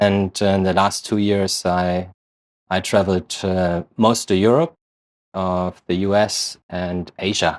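With a German accent, a man speaks at a very slow pace in a very deep, low monotone on a very clean recording with a silent background. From Germany. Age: 30s. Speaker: real estate investor. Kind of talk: interview.

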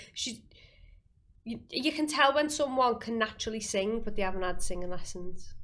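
A woman speaks at a moderate pace with a Liverpool accent. Her fairly high voice carries lively intonation. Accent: Scouse. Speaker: singer and actress. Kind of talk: casual chat. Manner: animated.

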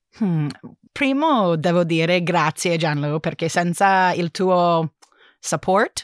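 A woman with an English accent and a fairly low pitch speaks at a very slow pace, pausing long and often, with ordinary pitch variation and a dry, close sound with no echo. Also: very clean recording, silent background. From United States. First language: English (speaking Italian). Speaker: linguist, Italian learner. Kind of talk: casual interview. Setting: studio. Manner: halting.

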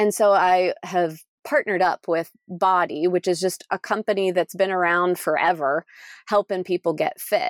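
In a very clean recording with a silent background and a dry, close sound with no echo, a woman talks at a moderate pace in a normal speaking voice with fairly even intonation. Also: medium pitch for a woman. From Pennsylvania. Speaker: RV traveler and homeschooling mom. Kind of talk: casual interview.

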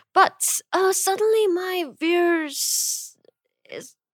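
A woman with a Korean accent speaks at an extremely high pitch. The sound is dry and close, with no echo. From South Korea, Busan. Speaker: streamer and convenience store owner. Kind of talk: casual interview. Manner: halting.

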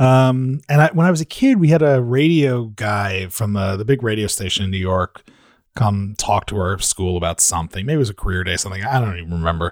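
In a very clean recording with a silent background, a man uses a plain, everyday voice at a fairly low pitch. His intonation is lively and his pace fairly quick. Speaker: podcast consultant. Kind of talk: casual chat. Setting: studio.

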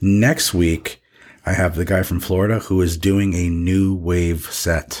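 A man talks at a fairly slow pace with a very deep, low pitch. His intonation is monotone and flat, and his loudness stays very even. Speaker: podcast host and DJ. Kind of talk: casual chat. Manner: halting.

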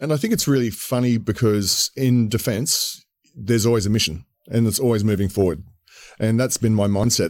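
A man talks with an Australian accent at a moderate pace. His pitch is medium, with ordinary pitch variation. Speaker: entrepreneur and military veteran. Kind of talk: casual interview. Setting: studio.

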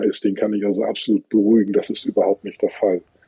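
A man talking at a very fast pace. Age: 50s. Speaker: tugboat company fleet manager. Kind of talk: interview.

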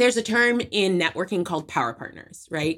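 A woman's voice moves through very wide pitch swings in a very clean recording with a silent background. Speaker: digital marketing strategist. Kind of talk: casual interview chat. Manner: high energy.

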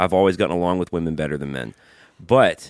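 A man's very deep, low voice, dry and close with no echo, in a very clean recording over a silent background. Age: 30s. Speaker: podcast co-host and musician. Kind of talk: casual chat. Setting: home studio.

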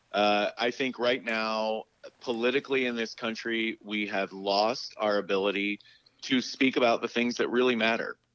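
This man speaks with an American accent. His pitch is medium and his intonation fairly even. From West Virginia. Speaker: HIV advocate. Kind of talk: interview.

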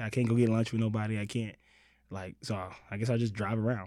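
A man with an unremarkable speaking voice at a medium pitch, at a fairly quick pace, on a very clean recording with a silent background. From Los Angeles, born in Mississippi. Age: 30s. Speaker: writer and comedic performer. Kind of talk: casual chat.

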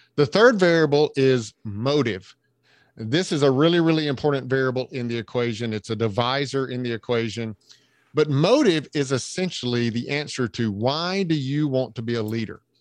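Set against a quiet background, the speaker talks at a moderate pace in a Southern US accent with ordinary pitch variation. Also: man, medium pitch for a man. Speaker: leadership trainer and coach. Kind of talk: podcast interview.

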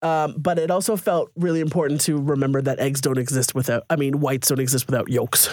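On a very clean recording with a silent background, a man talks at a very fast pace with hardly any pauses and very even loudness. His pitch is fairly high, with ordinary pitch variation. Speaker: podcast co-host. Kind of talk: casual chat.

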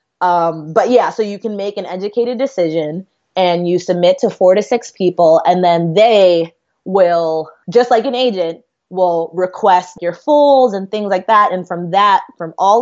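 An unremarkable speaking voice moves at a moderate speed, its pitch varying in an ordinary way. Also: woman. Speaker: writer. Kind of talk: casual chat.

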